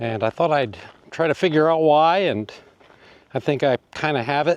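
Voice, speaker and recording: Dry and close with no echo, a man's ordinary speaking voice has a fairly high pitch and ordinary pitch variation. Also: moderate pace. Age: 60s. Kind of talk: casual talk to camera. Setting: outdoors.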